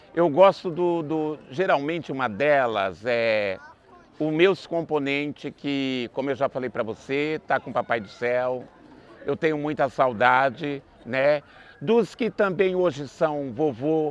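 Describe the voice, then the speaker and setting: Very slow speech from a man, fairly high in pitch. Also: ordinary pitch variation. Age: 60s. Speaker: festival dance troupe founder. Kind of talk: interview.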